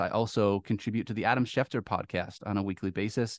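In an American accent, a man speaks at a medium pitch, the sound dry and close with no echo and the background quiet. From Michigan (Midland). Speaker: fantasy football podcast host. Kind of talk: casual chat.

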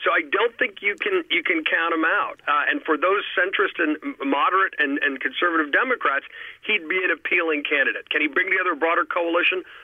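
There is noticeable background noise behind this man. He speaks in an American accent at a fairly quick pace and at a very even loudness. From New York City. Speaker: political commentator. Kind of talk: political analysis discussion. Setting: phone call.

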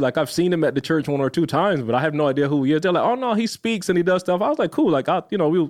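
An animated, high-pitched man at a very fast pace, with very wide pitch swings and a quiet background. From Barbados. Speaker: video editor and content creator. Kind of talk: casual interview, storytelling.

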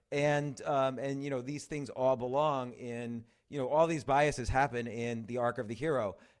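In a very clean recording with a silent background, a man with an American accent has an unremarkable speaking voice, medium pitch, fairly even intonation and a moderate pace. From New York City. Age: 50s. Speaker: writer and comedy club owner. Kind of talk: casual chat.

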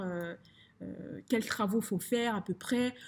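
A woman's somewhat breathy voice sits at a fairly high pitch with fairly even intonation. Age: 20s. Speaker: finance consultant and property investor. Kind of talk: casual interview. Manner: halting, many fillers and repetitions.

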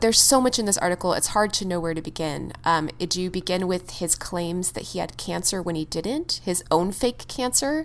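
Speaking at a moderate speed, a woman with a plain, everyday voice keeps a medium pitch and uses lively intonation. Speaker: podcast co-host. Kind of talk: casual chat.

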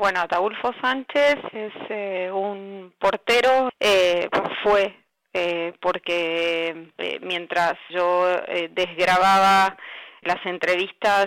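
A woman talks at a medium pitch and a very slow pace. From Argentina, Zárate (Buenos Aires province). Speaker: journalist. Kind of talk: interview about her article. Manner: halting, many fillers.

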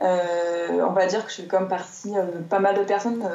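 A woman speaks over noticeable background noise. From southern France, Marseille. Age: 30s. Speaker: entrepreneur, creator of gratitude journals. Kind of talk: interview. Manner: hesitant, many fillers.

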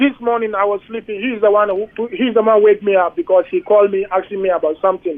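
Very fast and high-pitched, a man rattles through his words. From Ghana, Accra. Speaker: asylum seeker. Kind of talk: interview. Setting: phone call.

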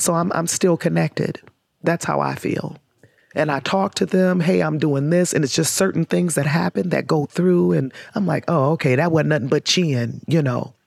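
A woman's very deep, low voice with vocal fry, very even loudness, a moderate pace and ordinary pitch variation. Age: 50s. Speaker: community organizer, nonprofit founder. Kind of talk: interview.

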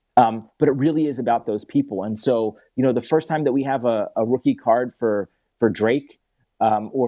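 Medium in pitch with ordinary pitch variation, this man has an unremarkable speaking voice. He speaks with an American accent against a quiet background. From Philadelphia, US Northeast. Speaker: entrepreneur. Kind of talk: interview.

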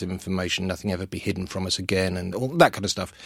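Speaking at a very fast pace, a man with a London accent has a very deep, low pitch, captured in a very clean recording with a silent background. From North London, Welsh family. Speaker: author and consultant. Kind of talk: interview chat.

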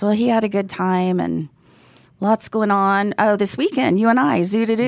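Speaking with a slight Texas accent, a woman keeps very even loudness, a medium pitch, ordinary pitch variation and a moderate pace, recorded very cleanly over silence. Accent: light Texas. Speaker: podcast co-host. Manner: doesn't enunciate clearly, mispronounces words.

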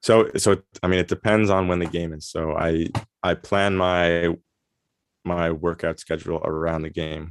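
A man speaks in a very deep, low voice with flat, monotone intonation over a quiet background. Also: moderate pace. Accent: New York. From New York, US. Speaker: semi-professional soccer player. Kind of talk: casual interview.

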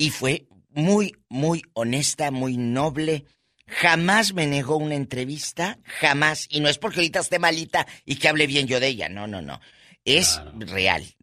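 A man with a fairly high pitch talks at a fairly slow pace in a bright, sharp, animated tone with lively intonation. His loudness swings widely on a very clean recording with a silent background. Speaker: entertainment news co-host. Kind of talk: casual chat. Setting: studio.

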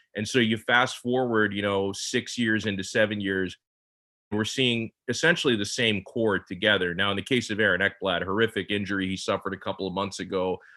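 A man's fairly low-pitched voice at a fairly quick pace with fairly even intonation, a normal speaking voice. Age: 30s. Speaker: sports radio host. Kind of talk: casual chat.

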